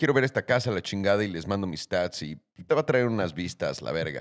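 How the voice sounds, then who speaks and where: With a Mexican accent, a man's voice moves through very wide pitch swings over a quiet background. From Mexico. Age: 30s. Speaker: podcast host. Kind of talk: casual chat. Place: studio. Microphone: studio mic.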